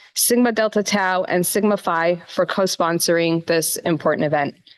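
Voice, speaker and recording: A woman talks at a moderate pace with fairly even intonation and a plain, everyday voice. The sound is dry and close, with no echo. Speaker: campus rabbi co-director. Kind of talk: event welcome speech.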